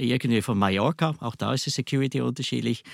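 A man with a Swiss German accent talks with vocal fry and lively intonation, the sound dry and close with no echo on a very clean recording over a silent background. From Switzerland. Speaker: software company director. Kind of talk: interview.

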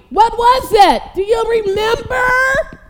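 A loud woman's voice at an extremely high pitch, fairly slow in pace, with noticeable background noise. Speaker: preacher. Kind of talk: sermon. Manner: animated.

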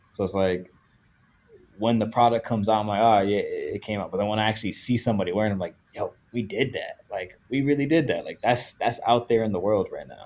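A man with an American accent talks at a very fast pace. His pitch is medium and his intonation fairly even. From Dominican heritage, US. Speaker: apparel designer. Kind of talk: casual chat.

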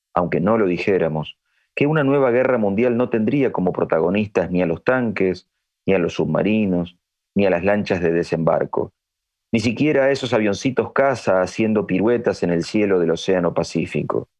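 In a normal speaking voice, the speaker keeps a moderate pace and very even loudness, with lively intonation. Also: man, fairly low pitch for a man. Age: 50s. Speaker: history teacher and writer. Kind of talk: scripted narration.

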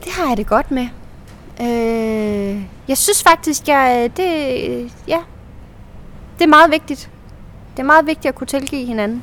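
A woman's high-pitched voice, lively in intonation, with long, frequent pauses. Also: fairly slow pace. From central Jutland, Denmark. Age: 30s. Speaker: actress. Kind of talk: casual chat. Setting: outdoors.

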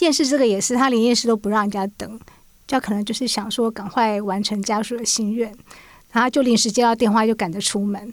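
Someone with an unremarkable speaking voice talks at a fairly quick pace. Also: woman, fairly high pitch for a woman, fairly even intonation. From Taiwan, urban. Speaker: magazine journalist. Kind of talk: podcast interview.

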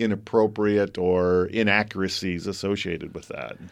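A man with a normal speaking voice, in an American accent, with fairly low pitch and fairly even intonation against a quiet background. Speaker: pet store owner, radio co-host. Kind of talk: casual radio chat.

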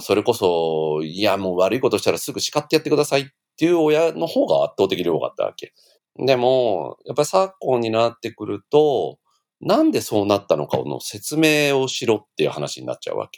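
Talking at a fairly quick pace, a man's loudness swings widely. The sound is dry and close with no echo. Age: 50s. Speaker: former daycare owner. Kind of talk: casual interview.

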